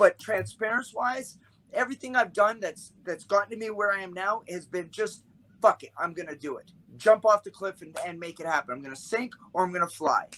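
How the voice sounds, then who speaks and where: A man speaks in a raised, projected voice at a high pitch and a fairly quick pace, with ordinary pitch variation. His loudness swings widely, and the sound is dry and close with no echo. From Canada. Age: 50s. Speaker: martial arts instructor. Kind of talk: casual podcast interview.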